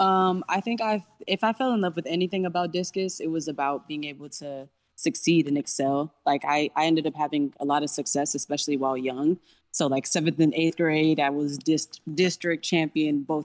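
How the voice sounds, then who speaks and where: In a very clean recording with a silent background and a dry, close sound with no echo, a woman with an American accent and a very deep, low pitch speaks at a moderate pace. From Rio Grande Valley, Texas. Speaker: discus thrower athlete. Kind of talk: casual interview chat.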